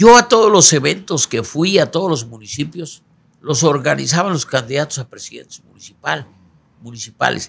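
Vocal fry runs through this man's voice. He speaks at a moderate pace. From Mexico, Guerrero. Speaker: politician, senate candidate; candidate. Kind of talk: interview. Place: studio. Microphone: studio mic.

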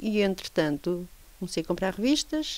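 The pitch swings very widely throughout. It belongs to a woman. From Lisbon, Portugal; Portugal. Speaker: craftswoman. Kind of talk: interview. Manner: halting. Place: home room. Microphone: handheld.

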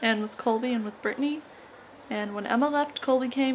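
Over light background noise, a woman keeps a moderate pace and fairly even intonation. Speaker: vlogger. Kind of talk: casual vlog chat. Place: home room. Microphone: phone near.

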